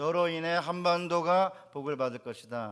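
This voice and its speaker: A man with a plain, everyday voice at a moderate pace, on a very clean recording with a silent background. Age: 60s. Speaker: pastor. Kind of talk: sermon.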